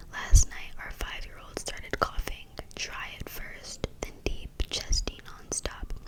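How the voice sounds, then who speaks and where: Someone whispers over noticeable background noise. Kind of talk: read-aloud of scary short stories. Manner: whispered.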